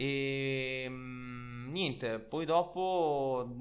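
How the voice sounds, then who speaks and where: With music behind him, a man talks at a medium pitch. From Italy. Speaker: podcast host. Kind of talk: casual chat.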